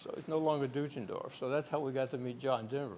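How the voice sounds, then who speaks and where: Speech comes at a very fast pace in a Virginia accent. The pitch varies in an ordinary way. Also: man. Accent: Virginia lilt. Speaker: aeronautical research engineer. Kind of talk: lecture presentation.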